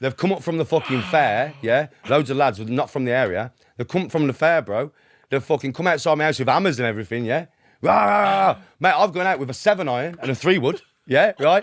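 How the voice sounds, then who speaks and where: A man with a Birmingham accent at a very fast pace, fairly high pitch and lively intonation, on a very clean recording with a silent background. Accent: Birmingham (Brummie) English. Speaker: podcast guest. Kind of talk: casual chat. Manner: animated.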